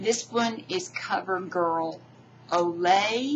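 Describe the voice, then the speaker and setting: A woman talks with ordinary pitch variation while noticeable background noise sits behind her. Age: 60s. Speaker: beauty vlogger. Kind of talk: tutorial. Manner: halting.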